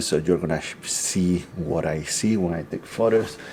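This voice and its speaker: Against noticeable background noise, a man speaks with a very deep, low pitch. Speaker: photography vlogger. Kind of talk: casual vlog. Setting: indoors at a rental home. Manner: hesitant, many fillers.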